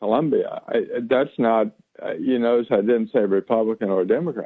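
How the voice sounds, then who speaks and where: This man talks at a fairly quick pace in a medium pitch. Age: 60s. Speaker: political candidate. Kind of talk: radio interview. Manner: halting, many repetitions and fillers.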